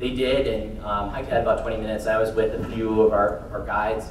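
A man is speaking with audible room echo. Light background noise sits behind him. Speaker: conference speaker. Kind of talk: motivational talk. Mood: earnest, recounting hardship. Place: hall. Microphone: pa.

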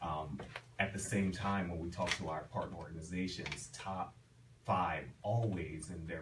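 Over noticeable background noise, a man with a Philadelphia accent speaks at a moderate pace and a very deep, low pitch. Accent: Philadelphia American English. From Philadelphia (North Philly). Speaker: HR professional and professor. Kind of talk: radio interview. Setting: radio studio. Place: studio.

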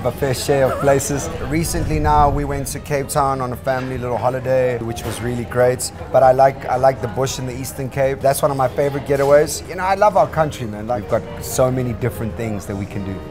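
A man rattles along at a very fast pace with hardly any pauses. Clear music sounds behind him. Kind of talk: interview answer. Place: cafe. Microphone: lapel.

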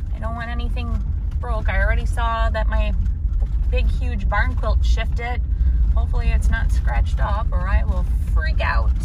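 A woman at a moderate pace, dry with no echo, over loud background noise. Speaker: vlogger heading to a barn sale. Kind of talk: casual vlog chat. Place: car. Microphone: phone near.

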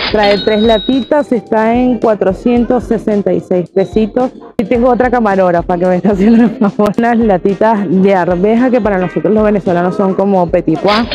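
Clear music plays in the background, and the loudness stays very even throughout. The pitch varies in an ordinary way at a fairly slow pace, with a dry sound and no echo. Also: woman. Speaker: travel vlogger. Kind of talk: casual vlog chat. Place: shop. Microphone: lapel.

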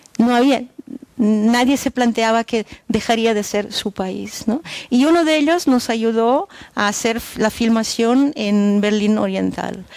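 A woman speaks at a very slow pace with a fairly high pitch and ordinary pitch variation, in a dry sound with no echo against a quiet background. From Germany. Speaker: documentary filmmaker. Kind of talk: talk after film screening. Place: stage. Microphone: headset.

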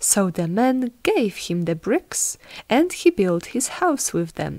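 Against a silent background in a very clean recording, a woman speaks in a gentle, playful tone. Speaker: audiobook narrator. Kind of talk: bedtime story narration, reading a classic fairy tale aloud to children. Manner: gentle, storytelling pace with playful character voices for the wolf and pigs.

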